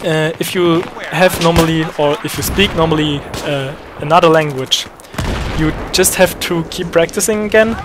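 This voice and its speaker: Amid noticeable background noise, a man with a German accent talks at a moderate pace in a high pitch. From Germany. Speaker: gaming YouTuber. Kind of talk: tutorial. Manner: hesitant, many fillers.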